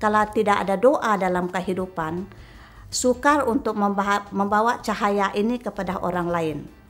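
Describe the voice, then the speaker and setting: A woman at a medium pitch, with ordinary pitch variation and a fairly slow pace. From Sarawak, Malaysia (Melanau). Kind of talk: interview testimony. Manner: halting, many fillers.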